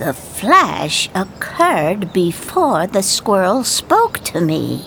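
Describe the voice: Simple reading aloud, plain and unadorned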